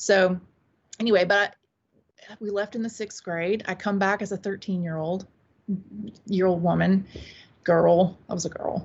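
Somewhat breathy, a woman speaks with an American accent at a medium pitch. Her pace is fairly slow. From US South, upstate South Carolina. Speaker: witchcraft author and priestess. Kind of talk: interview.

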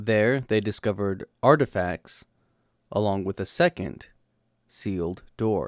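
A man speaks at a fairly slow pace in a fairly low pitch, with a normal speaking voice. The recording is very clean with a silent background, and the sound is dry and close with no echo. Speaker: podcast host. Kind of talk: history podcast narration, scripted and storytelling. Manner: conversational and jokey, with a lightly comic tone.

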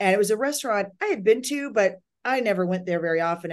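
In a normal speaking voice, a woman talks at a medium pitch and a fairly quick pace with lively intonation. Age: 50s. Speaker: psychic. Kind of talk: casual interview conversation.

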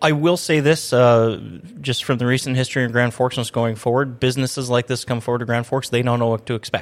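A very fast pace and fairly even intonation, with an American accent. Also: man, medium pitch for a man. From Minnesota. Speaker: city public information officer, podcast host. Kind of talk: casual interview chat. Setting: studio.

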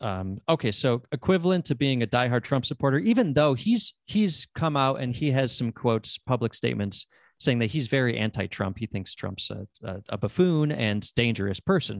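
This man has a plain, everyday voice at a medium pitch, with an American accent, lively intonation and a moderate pace with hardly any pauses, captured dry and close with no echo over a quiet background. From upstate New York. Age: 30s. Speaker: podcast host and producer. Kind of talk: casual chat.

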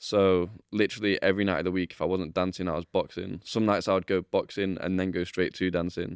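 A man's very deep, low voice with a Mancunian accent, very fast and monotone, with flat intonation and a dry, close sound with no echo. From Manchester, England. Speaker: professional dancer. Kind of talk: casual chat. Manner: laughs often.

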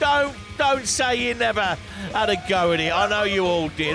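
A man is speaking. Crowd noise sounds in the background. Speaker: radio host. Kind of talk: unscripted radio dj patter between records. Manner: chatty, relaxed, rambling, upbeat; animated, casual, ad-libbing between songs.

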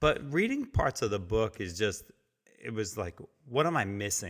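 A man with an American accent speaks at a moderate pace in an animated tone. The recording is very clean, with a silent background. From New Jersey. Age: 40s. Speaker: podcast host and entrepreneur. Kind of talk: interview.

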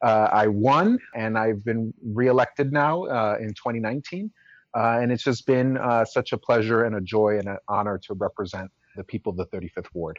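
With an American accent, a man in an unremarkable speaking voice talks at a moderate pace, his medium pitch showing ordinary variation. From Chicago. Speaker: city council member. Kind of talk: interview.

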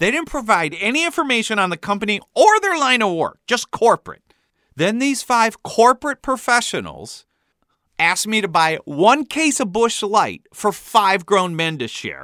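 Using a raised, projected voice, a man with an American accent speaks at a moderate pace with a high pitch, very wide pitch swings and a bright, sharp tone, recorded with a dry, close sound and no echo. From US Midwest. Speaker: author narrating his memoir. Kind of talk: scripted narration.

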